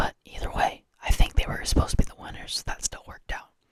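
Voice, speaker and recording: Whispering at a fairly quick pace. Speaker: ASMR creator. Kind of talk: ASMR ramble about wrestling. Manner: whispered.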